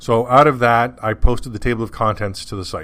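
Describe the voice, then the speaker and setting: A man's fast-ish mumbling in a Canadian accent, fairly quick in pace, with fairly even intonation. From Canada. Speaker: podcast host. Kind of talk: casual monologue.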